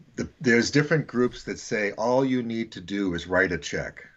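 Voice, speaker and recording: Speaking at a fairly slow pace, a man uses a medium pitch and lively intonation. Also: long, frequent pauses. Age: 60s. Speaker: missions teacher and author. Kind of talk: podcast interview.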